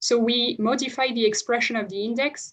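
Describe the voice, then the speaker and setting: This is a woman's voice. She keeps her intonation fairly even. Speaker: economist presenting research. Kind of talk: academic presentation. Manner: fast; hesitant with many fillers.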